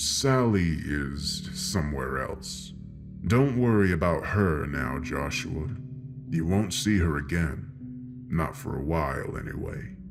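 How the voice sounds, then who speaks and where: Someone performs in a put-on character voice. Loud background noise runs under it. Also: man, fairly slow pace. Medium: read story. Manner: sly, smug, menacing.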